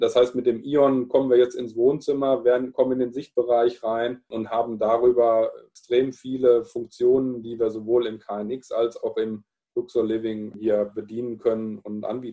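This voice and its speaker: Speaking at a moderate pace with hardly any pauses, a man keeps a medium pitch and a flat monotone. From Palatinate, Germany. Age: 40s. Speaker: sales and marketing manager. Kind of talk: casual interview chat.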